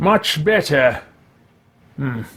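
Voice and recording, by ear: Using a put-on character voice, a man speaks at a very slow pace with big pitch swings and a bright, sharp tone. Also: fairly high pitch for a man.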